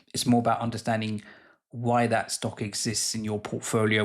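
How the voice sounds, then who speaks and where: A fairly low-pitched man with a British accent, at a fairly quick pace. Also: very clean recording, silent background. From UK. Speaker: investing YouTuber. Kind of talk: casual educational talk to camera.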